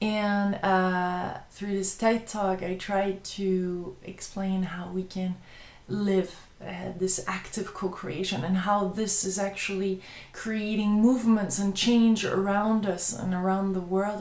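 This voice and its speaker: In a French accent, a woman at medium pitch talks very slowly with fairly even intonation, over audible room echo and noticeable background noise. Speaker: web TV host and video blogger. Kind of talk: casual vlog monologue. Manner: halting, many repetitions and fillers.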